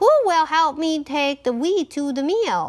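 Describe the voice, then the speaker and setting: At a fairly slow pace, a woman uses a put-on character voice pitched high. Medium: read story.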